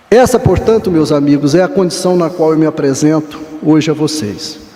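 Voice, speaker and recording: A man speaks with a fairly high pitch and very even loudness. Audible room echo and noticeable background noise surround him. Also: ordinary pitch variation, moderate pace. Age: 60s. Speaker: professor. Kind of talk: lecture.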